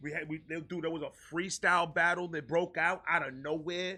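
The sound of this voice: The voice has a bright, sharp tone and moves at a fairly slow pace. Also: man.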